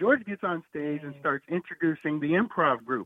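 A man with an American accent, fairly high-pitched, at a moderate pace. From US Midwest, Quad Cities. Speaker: stand-up comedian. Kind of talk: casual chat.

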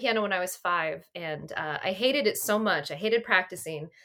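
Her voice is bright and sharp, with lively intonation and an American accent. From Pennsylvania, Berks County. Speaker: defense engineer. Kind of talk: casual chat.

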